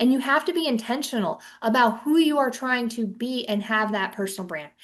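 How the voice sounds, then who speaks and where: With lively intonation and a moderate pace, an unremarkable speaking voice comes through over a quiet background. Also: woman. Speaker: financial advisor trainer. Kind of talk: webinar presentation.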